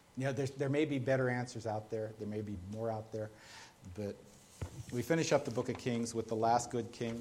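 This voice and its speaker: In a room with audible echo, a man with a medium-pitched, somewhat breathy voice speaks at a moderate pace with fairly even intonation. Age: 30s. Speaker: pastor. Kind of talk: sermon. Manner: halting, frequent repeated words.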